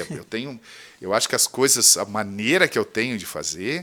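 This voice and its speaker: The recording is very clean and its background silent. On it, a man talks at a fairly quick pace. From southern Brazil, Rio Grande do Sul. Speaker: radio presenter and teacher. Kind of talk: casual interview chat. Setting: studio. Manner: animated.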